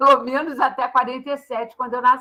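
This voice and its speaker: A woman speaks at a high pitch in a raised, projected voice. Her tone is bright and sharp. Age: 70s. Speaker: social sciences professor. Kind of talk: guest talk.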